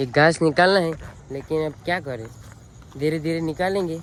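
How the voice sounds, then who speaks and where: In a Gujarati accent, a man speaks with fairly even intonation and a fairly high pitch. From Gujarat, India. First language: Gujarati (speaking Hindi). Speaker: vlogger, farmer. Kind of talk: casual vlog walkthrough. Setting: outdoors in a farm field.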